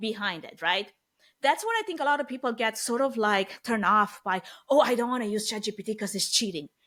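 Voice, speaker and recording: A woman's fairly high, bright and sharp voice with a Romanian accent, a fairly quick pace and ordinary pitch variation. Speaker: event planning expert. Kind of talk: podcast interview.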